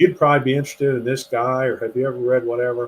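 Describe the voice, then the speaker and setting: A man talks with an American accent and a medium pitch. His intonation stays fairly even. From US, western Pennsylvania. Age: 60s. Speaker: author. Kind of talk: interview conversation.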